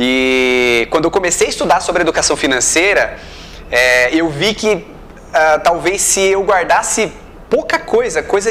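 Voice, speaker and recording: Against noticeable background noise, a man with a high pitch speaks at a moderate pace with lively intonation and very even loudness. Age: 30s. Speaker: interviewer. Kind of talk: interview.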